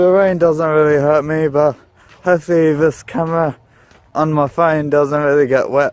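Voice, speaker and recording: Speaking at a fairly slow pace, a man with a fairly high voice has an Australian accent. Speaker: vlogger. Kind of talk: casual vlog. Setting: outdoors, walking in rain.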